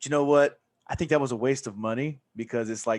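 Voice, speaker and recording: A man's fairly high voice with a Southern US accent. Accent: Southern drawl. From Deep South, Mississippi.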